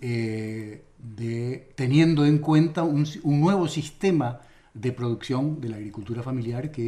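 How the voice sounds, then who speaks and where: Speaking at a fairly slow pace, a man has lively intonation. His tone is dark, mellow and somewhat breathy. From Argentina, Santa Fe. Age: 70s. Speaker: farmer movement leader and speaker. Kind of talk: radio interview. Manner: halting, with many fillers and repetitions.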